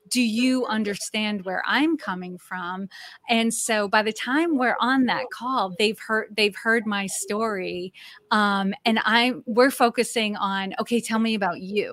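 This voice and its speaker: With an American accent, a woman talks in a normal speaking voice at a fairly slow pace. Her pitch is fairly high, with ordinary variation. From Massachusetts, New England. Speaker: executive coach. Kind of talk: interview.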